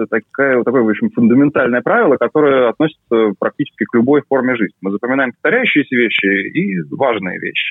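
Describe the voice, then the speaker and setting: This man's voice is fairly high-pitched. He talks at a fairly quick speed. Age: 30s. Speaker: neuroscientist. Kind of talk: interview. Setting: video call.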